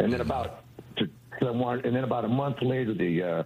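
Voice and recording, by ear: A man talks at a fairly quick pace in a medium pitch, with ordinary pitch variation and a slightly mellow tone.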